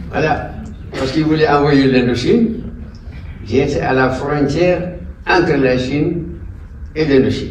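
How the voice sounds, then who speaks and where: A man's fairly high voice, fairly slow with long, frequent pauses and ordinary pitch variation, amid noticeable background noise and audible room echo. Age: 80s+. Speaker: war veteran. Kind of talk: speech at an event. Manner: halting.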